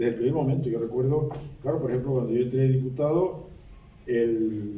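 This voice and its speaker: Through audible room echo, a man with a dark, mellow tone and a somewhat breathy medium-pitched voice speaks at a fairly quick pace with ordinary pitch variation. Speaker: retired law professor and former politician. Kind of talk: book presentation speech. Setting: public academic event with audience. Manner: halting.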